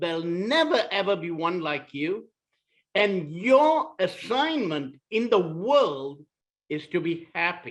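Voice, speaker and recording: With a Malaysian accent, the speaker moves at a very slow pace while the intonation stays lively. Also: man, high pitch for a man. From Malaysia (Kuala Lumpur). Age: 60s. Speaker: author. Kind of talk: short inspirational talk.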